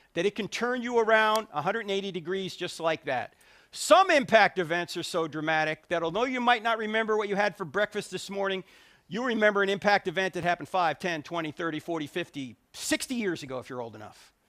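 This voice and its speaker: A man at high pitch, very fast, with an animated, bright, sharp tone and lively intonation, the sound dry and close with no echo. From New Jersey. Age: 60s. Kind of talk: public talk. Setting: stage with audience.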